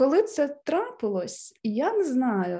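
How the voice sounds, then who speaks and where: A woman speaks high in pitch with a dark, mellow tone. The background is quiet. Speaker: podcast guest. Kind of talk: casual chat.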